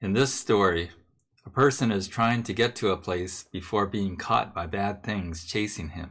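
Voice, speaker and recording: A plain, everyday voice from a man at a fairly low pitch, with ordinary pitch variation and a fairly slow pace, on a very clean recording with a silent background. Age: 60s. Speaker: Buddhist minister. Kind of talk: sermon.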